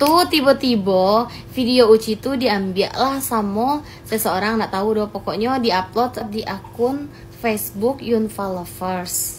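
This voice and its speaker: A woman's fairly high-pitched voice in a West Sumatran accent, with lively intonation and a fairly slow pace. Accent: Minangkabau dialect of her village. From West Sumatra, Pasaman Barat. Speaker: social media content creator. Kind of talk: vlog clarification. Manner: animated.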